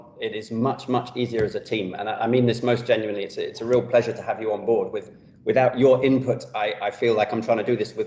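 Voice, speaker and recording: A man with a London accent talks at a fairly quick pace. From London, England. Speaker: pediatric orthopedic surgeon. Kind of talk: professional talk show interview.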